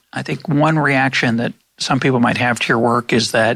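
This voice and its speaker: This bright, sharp voice carries vocal fry, moving at a moderate pace with ordinary pitch variation. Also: man. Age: 60s. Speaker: podcast host. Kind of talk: interview conversation.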